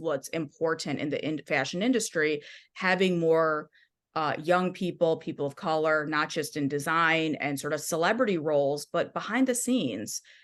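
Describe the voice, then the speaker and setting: A woman with a Midwestern accent talks at a moderate pace in a fairly low pitch with ordinary pitch variation over a quiet background. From US Midwest, Michigan. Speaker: music journalist and author. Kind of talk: podcast interview.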